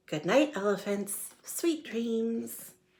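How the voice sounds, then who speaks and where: A female-sounding, put-on character voice, fairly high in pitch. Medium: read story. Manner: playful, teasing.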